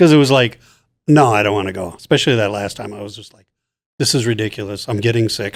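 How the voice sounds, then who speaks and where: In a very clean recording with a silent background, a man speaks at a very fast pace with fairly low pitch, ordinary pitch variation and big swings in loudness. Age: 60s. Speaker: cancer survivor, host's father. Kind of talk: family interview, personal testimony.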